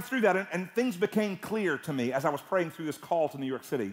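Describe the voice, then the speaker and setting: Against a quiet background, a high-pitched man with a Southern US accent talks at a very fast pace with very wide pitch swings. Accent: Southern US (Georgia). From US South, Georgia (Atlanta area). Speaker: guest preacher. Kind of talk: sermon. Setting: church service with congregation. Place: church. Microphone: headset.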